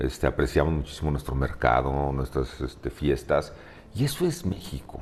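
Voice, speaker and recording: Amid noticeable background noise, a man with a very deep, low voice talks at a moderate pace with fairly even intonation. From Mexico City (Coyoacán). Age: 60s. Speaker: open-water swimmer. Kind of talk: interview. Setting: at his home. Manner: halting, many fillers.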